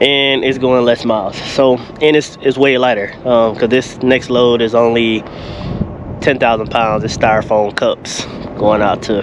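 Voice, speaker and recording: Over noticeable background noise, a man talks at a fairly slow pace in a monotone, flat intonation, with a dry sound and no echo. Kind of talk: casual vlog chat. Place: street. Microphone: phone near.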